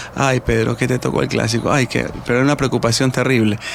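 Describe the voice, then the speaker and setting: Noticeable background noise sits behind a man of medium pitch speaking in a coastal Ecuadorian accent. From Guayaquil, Ecuador. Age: 50s. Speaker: retired football referee. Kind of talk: radio interview.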